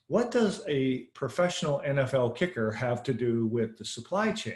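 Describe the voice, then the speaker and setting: A man's plain, everyday voice with an American accent, medium pitch, lively intonation and a moderate pace. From Pennsylvania, Pittsburgh area. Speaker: supply chain podcast host. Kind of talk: interview.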